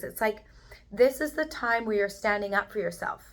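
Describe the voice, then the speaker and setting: Here a woman talks with ordinary pitch variation. The recording is very clean, with a silent background. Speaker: energy healer and intuitive guide. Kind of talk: tarot reading monologue. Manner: animated.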